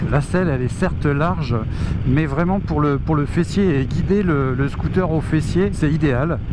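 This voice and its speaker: Amid noticeable background noise and audible room echo, a man speaks at a fairly high pitch. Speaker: motorcycle reviewer. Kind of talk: riding review commentary. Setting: riding a scooter outdoors on road. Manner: hesitant, many fillers.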